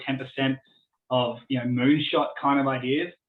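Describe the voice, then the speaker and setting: An Australian accent marks this man's fairly high voice, delivered at a moderate pace. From Australia, born in Tasmania. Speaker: business innovation consultant. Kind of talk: Q&A after presentation.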